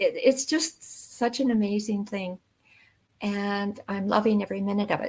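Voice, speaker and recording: At a moderate pace and medium pitch, a woman talks with a somewhat breathy voice. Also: ordinary pitch variation. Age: 80s+. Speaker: online business owner. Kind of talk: interview. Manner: halting.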